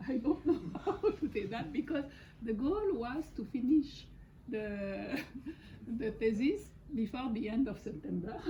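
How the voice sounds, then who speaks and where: A woman with a French accent speaks at a high pitch and a fairly slow pace. Her pitch swings very widely, and she takes long, frequent pauses. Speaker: thesis supervisor. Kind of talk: formal speech. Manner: halting.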